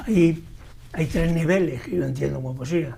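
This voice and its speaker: A man talks with an Andalusian accent. Audible room echo and noticeable background noise come through. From Andalusia, Spain (Andújar, Jaén). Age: 70s. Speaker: poet. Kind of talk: interview. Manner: halting, with repetitions.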